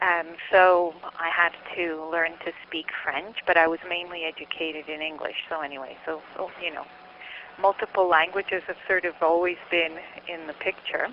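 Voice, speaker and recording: Over noticeable background noise, a speaker with a Canadian accent talks in a flat monotone, the loudness swinging widely. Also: woman, fairly low pitch for a woman, moderate pace. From Montreal, Quebec, Canada. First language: Czech. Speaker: psychology researcher and lecturer. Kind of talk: interview. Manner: halting, many fillers.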